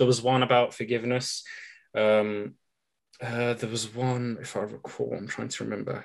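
A man speaks with a British accent at a moderate pace, his pitch medium. His intonation is flat and monotone, over a quiet background. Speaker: podcast host. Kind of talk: interview.

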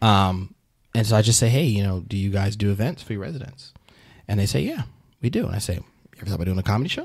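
Long, frequent pauses break up a man's very fast speech, his fairly low voice somewhat breathy with ordinary pitch variation. The recording is very clean, with a silent background. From Alabama, Huntsville. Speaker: comedian and comedy booker. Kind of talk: casual interview chat.

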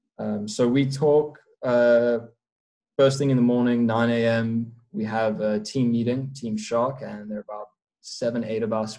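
A man's dark, mellow, medium-pitched voice with fairly even intonation and a South African accent. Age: young. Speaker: professional prop trader. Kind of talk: casual interview chat.

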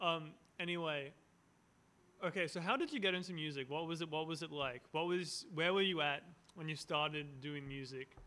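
Fairly high in pitch, a man speaks with an Australian accent and fairly even intonation. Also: moderate pace. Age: 20s. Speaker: podcast host. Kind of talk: casual chat.

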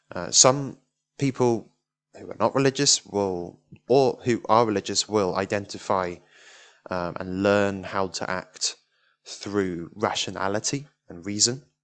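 In a British accent, a man talks fairly slowly with long, frequent pauses. His voice is fairly low, with ordinary pitch variation, over a quiet background. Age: 20s. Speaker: podcast host. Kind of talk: solo monologue on self-improvement. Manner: hesitant, many fillers.

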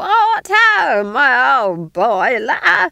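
A loud, shrill, put-on character voice at a fairly high pitch. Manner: screeching, loud, jovial.

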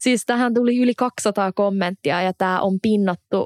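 Medium-pitched woman's voice in a very clean recording, silent background, dry and close with no echo. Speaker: podcast host. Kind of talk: casual chat.

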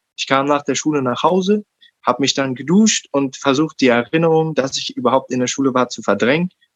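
Here a man talks at a fairly quick pace, his pitch fairly high with ordinary variation. The sound is dry and close, without echo. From Berlin, Germany. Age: 20s. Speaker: podcast guest, self-directed learner. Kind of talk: interview, personal story. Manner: halting, many fillers.

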